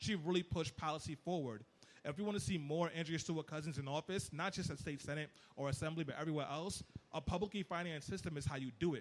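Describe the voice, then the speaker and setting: Animated in tone, a man talks at a very fast pace with a fairly high pitch. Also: ordinary pitch variation. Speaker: political activist. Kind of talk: panel discussion.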